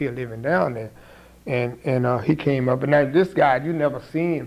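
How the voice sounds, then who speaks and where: An American accent marks this man's fairly high-pitched voice, an ordinary speaking voice. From St. Mary's County, Maryland. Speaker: community activist. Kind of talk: oral history interview answer.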